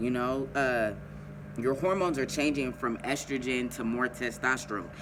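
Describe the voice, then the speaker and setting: With a plain, everyday voice, the speaker keeps a moderate pace, ordinary pitch variation and very even loudness. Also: man, medium pitch for a man. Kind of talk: casual advice vlog.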